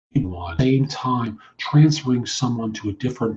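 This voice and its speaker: Fairly even intonation carries a man's somewhat breathy voice. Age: 60s. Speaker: recruiter and career coach. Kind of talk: podcast monologue. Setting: internet radio show.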